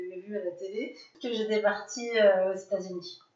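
At a moderate pace, a woman talks in an ordinary speaking voice of medium pitch with fairly even intonation. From France, near Grenoble. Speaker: adoptee sharing her story. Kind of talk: interview testimony.

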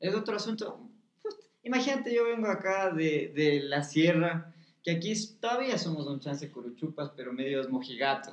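Animated and high-pitched, a man talks at a moderate pace with very wide pitch swings. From Ecuador, Quito (highlands). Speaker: actor. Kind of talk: casual chat.

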